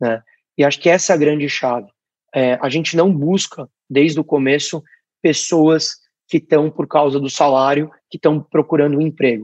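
Recorded with a dry, close sound and no echo, the speaker has an ordinary speaking voice and a moderate pace with fairly even intonation. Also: man. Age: 20s. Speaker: startup founder. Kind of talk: interview.

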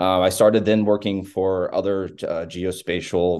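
Over a quiet background, a man's very deep, low voice has a dark, mellow tone. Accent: Texan. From Texas. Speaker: technology company managing director. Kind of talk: interview. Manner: frequent filler words (um, uh).

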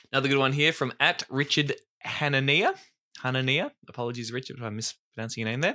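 Here a man with an Australian accent talks at a very fast pace in medium pitch. His tone is bright and sharp, with ordinary pitch variation. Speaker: podcast co-host. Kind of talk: casual chat.

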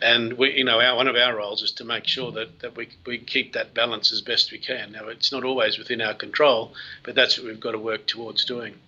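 In an Australian accent, the speaker delivers flat, monotone lines at a fairly quick pace with hardly any pauses. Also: man, medium pitch for a man. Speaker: mining company CEO. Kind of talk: interview. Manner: halting.

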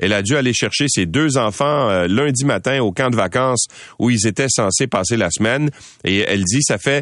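Over a quiet background, a man with a Quebec accent speaks at a moderate pace and medium pitch with lively intonation. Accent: Québécois French. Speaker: radio news host. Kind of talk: news commentary and interviews.

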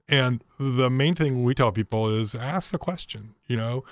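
A man's ordinary speaking voice at a medium pitch and fairly slow pace, with ordinary pitch variation, a dry, close sound with no echo and a very clean recording with a silent background. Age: 50s. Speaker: nonprofit executive. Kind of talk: radio interview.

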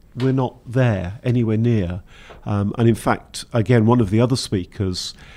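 With a Welsh accent, a man speaks at a medium pitch in a dark, mellow tone on a very clean recording with a silent background. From Wales. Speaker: engineering institution technical director. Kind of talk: interview.

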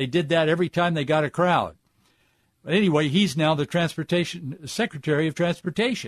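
In a normal speaking voice, a man with a fairly high pitch talks at a fairly quick pace with ordinary pitch variation and very even loudness, in a dry, close sound with no echo over a quiet background. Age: 40s. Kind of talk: radio commentary monologue.

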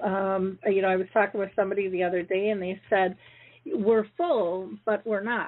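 At medium pitch and a moderate pace, a woman talks in an unremarkable speaking voice. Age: 60s. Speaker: radio host. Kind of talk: radio announcements; live radio interview. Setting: radio studio, live call-in show.

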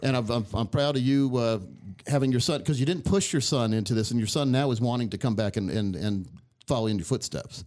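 A man's medium-pitched voice at a very fast pace, with very even loudness and ordinary pitch variation. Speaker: radio host. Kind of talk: casual interview chat. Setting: studio. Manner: friendly, chatty.

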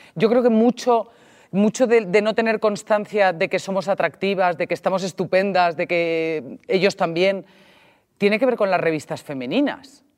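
In a very clean recording with a silent background, someone talks at a moderate pace. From Spain, Mediterranean coast. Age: 40s. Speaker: podcast host. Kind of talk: casual chat.

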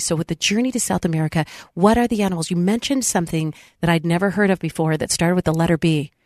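A woman with a fairly low pitch, in a dry, close sound with no echo. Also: quiet background. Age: 50s. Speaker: radio talk show host. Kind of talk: interview. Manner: animated.

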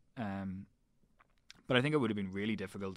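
A man speaks with a Northern Irish accent at a fairly low pitch. The recording is very clean, with a silent background. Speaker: rugby journalist. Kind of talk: casual chat.

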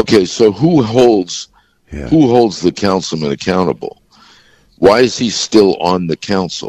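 A man with a fairly low pitch and lively intonation talks in an unremarkable speaking voice, the sound dry and close with no echo. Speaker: former police commissioner. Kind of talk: radio interview.

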